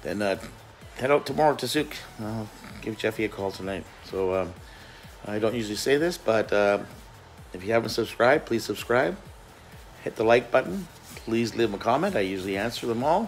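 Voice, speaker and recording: A man at a fairly quick pace with ordinary pitch variation, faint music in the background. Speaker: van life vlogger. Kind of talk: casual vlog chat. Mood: cheerful, relaxed. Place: home room. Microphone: phone near.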